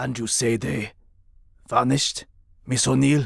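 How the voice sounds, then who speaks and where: A man does a cartoonish character voice that is raspy and medium in pitch. He moves at a moderate pace. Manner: formal, measured.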